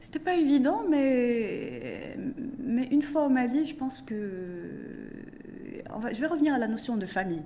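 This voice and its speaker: A woman speaks at a high pitch and fairly slow pace, with lively intonation and long, frequent pauses. Audible room echo and noticeable background noise fill the recording. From Morocco. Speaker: economist and business consultant. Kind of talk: interview. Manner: halting.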